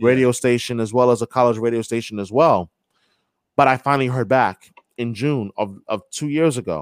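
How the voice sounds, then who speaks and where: A plain, everyday voice: a man with an American accent, medium pitch, moderate pace and ordinary pitch variation, in a dry, close sound with no echo. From New York. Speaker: sports radio host. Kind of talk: casual interview.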